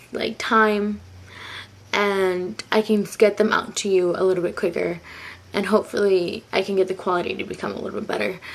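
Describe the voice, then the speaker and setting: A woman's medium-pitched voice at a moderate pace, flat and monotone in intonation. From Mexican heritage. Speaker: beauty vlogger. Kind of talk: makeup tutorial. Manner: casual, filler words.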